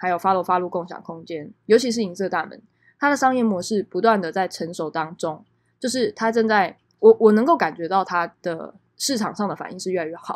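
A woman with a Taiwanese accent, lively intonation and a fairly quick pace. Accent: Taiwanese Mandarin. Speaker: podcast host. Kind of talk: solo podcast monologue. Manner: casual, many filler words.

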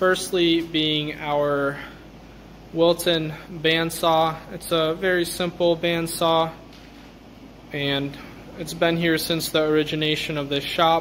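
Over light background noise, a man speaks very slowly in a flat monotone, with long, frequent pauses. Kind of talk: shop tour narration. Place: workshop. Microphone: phone near.

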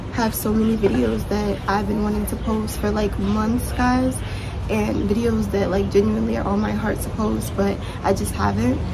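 A woman talks at a moderate pace with noticeable background noise. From New York City. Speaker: entrepreneur and YouTuber. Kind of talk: casual talk to camera. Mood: reflective, sincere. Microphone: phone near.

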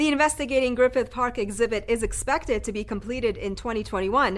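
Against a quiet background, a woman speaks at a moderate pace. Her voice is high and her intonation lively. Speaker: TV news show host. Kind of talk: news reading. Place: studio.

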